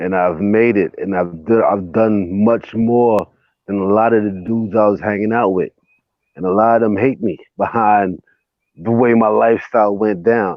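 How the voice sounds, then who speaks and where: A man speaks with a normal speaking voice at a fairly low pitch. His pace is moderate and his intonation fairly even. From US, raised in city projects. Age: 40s. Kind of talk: casual chat.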